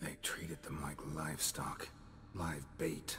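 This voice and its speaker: Over clear background noise, a put-on character voice whispers at a fairly slow pace. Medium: video game. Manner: terse, dry.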